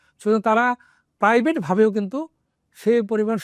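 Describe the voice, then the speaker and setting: A man's high voice against a quiet background, dry and close with no echo. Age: 60s. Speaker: retired army doctor and oncologist. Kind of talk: talk to camera. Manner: halting.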